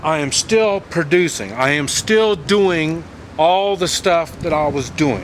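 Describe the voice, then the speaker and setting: The delivery has lively intonation and a very slow pace. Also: man, high pitch for a man. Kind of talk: casual talk to camera.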